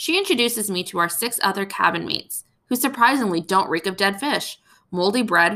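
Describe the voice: Plain reading aloud with lively intonation comes over a quiet background.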